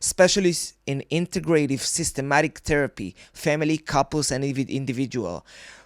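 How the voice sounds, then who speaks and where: At a moderate pace, a man with a non-native accent talks with ordinary pitch variation in a dry, close sound with no echo. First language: not English. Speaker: podcast host. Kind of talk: casual interview chat. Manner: animated.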